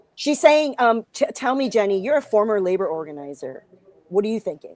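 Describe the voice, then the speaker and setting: Speaking with an American accent, a woman talks at a fairly quick pace. Her fairly high pitch makes very wide swings. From Los Angeles, US West Coast. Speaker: comedian and guest co-host. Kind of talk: casual chat.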